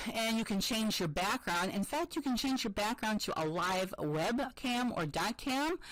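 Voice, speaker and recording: A woman speaks with an American accent at a medium pitch. Her pitch swings very widely. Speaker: school technology integration specialist. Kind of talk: tutorial presentation. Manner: casual, with many fillers.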